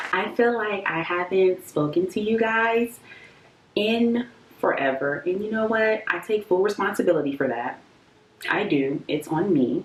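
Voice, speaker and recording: Her pitch swings very widely as a woman speaks at a fairly slow pace against noticeable background noise. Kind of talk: casual talk to camera. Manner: chatty, lighthearted.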